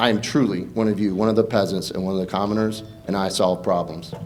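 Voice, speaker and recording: With audible room echo around him, a man speaks with an American accent. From Eastern North Carolina, Pamlico County. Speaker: congressional candidate, army veteran. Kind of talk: campaign debate speech.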